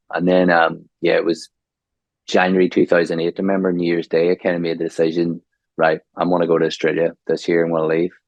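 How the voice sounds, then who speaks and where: With a Northern Irish accent, a man rattles along at a very fast pace, his very deep, low voice monotone and flat. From Northern Ireland, Omagh. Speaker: graphic designer, branding. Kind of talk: podcast interview.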